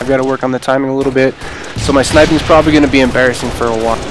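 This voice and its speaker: A man with an American accent and fairly even intonation, over noticeable background noise. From Montana, US. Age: 20s. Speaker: gaming youtuber, army veteran. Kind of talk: gameplay commentary. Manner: casual, hesitant with fillers.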